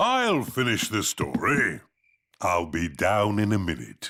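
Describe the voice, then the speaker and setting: Using a cartoonish character voice, a man talks in a fairly low pitch at a fairly slow pace. His tone is cheerful. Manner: cheerful, chuckling.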